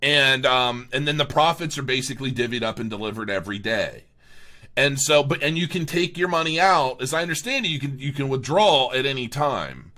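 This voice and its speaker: A man talks at a fairly quick pace with a fairly high pitch and a bright, sharp tone. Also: ordinary pitch variation. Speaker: crypto video blogger. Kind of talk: casual review monologue. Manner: halting, many fillers and restarts.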